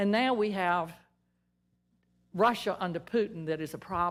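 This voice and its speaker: A woman with a Southern US accent talks at a moderate pace and medium pitch with ordinary pitch variation. The recording is very clean, with a silent background. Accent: Southern US (Georgia). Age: 70s. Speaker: member of the public at meeting. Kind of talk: public comment. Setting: public meeting. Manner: halting.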